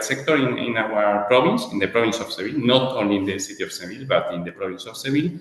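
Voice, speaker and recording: A man's medium-pitched voice carries audible room echo amid noticeable background noise. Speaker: chamber of commerce project coordinator. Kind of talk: interview. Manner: halting.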